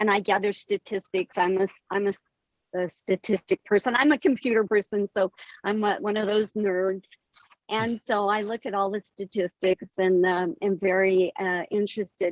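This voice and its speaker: A woman with an ordinary speaking voice, in an American accent, medium pitch, moderate pace and fairly even intonation, in a dry, close sound with no echo. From US West, southeastern Colorado ranching community. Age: 60s. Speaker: author and poet. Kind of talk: interview.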